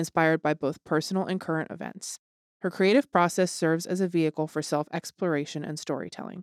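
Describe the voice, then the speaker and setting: A plain, everyday voice moves at a fairly quick pace with ordinary pitch variation. The very clean recording has a silent background and a dry, close sound with no echo. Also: woman. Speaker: podcast host. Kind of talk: casual chat.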